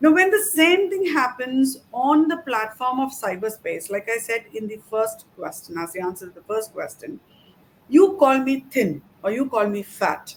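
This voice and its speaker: A high-pitched woman speaks at a moderate pace with very wide pitch swings and big swings in loudness. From South India. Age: middle-aged. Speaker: cybercrime investigator. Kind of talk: interview. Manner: halting.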